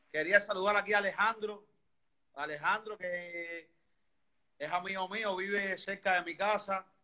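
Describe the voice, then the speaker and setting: Speaking in a raised, projected voice with a Cuban accent, a man talks at a fairly slow pace with long, frequent pauses, a high pitch, a bright, sharp tone and fairly even intonation. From Havana, Cuba. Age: 30s. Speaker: interviewee sharing health story. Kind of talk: testimony. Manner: halting.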